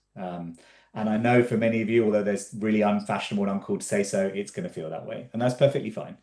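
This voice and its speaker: Speaking very fast in an English accent, a man has a fairly low pitch and a dark, mellow tone. His loudness swings widely while his pitch varies an ordinary amount. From England. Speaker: physician and health tech entrepreneur, lecturer. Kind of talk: conference talk. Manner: casual with frequent fillers.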